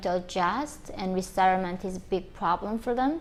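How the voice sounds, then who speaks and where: The speaker has a North Korean accent. The pace is moderate. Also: woman. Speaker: North Korean defector and activist. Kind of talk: personal testimony to camera.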